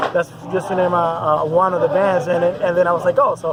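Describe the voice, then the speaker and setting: Crowd noise fills the background as a man with a Spanish accent speaks very fast. His pitch is high and his intonation fairly even. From Puerto Rico. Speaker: metal band musician. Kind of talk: casual interview. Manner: hesitant, many fillers.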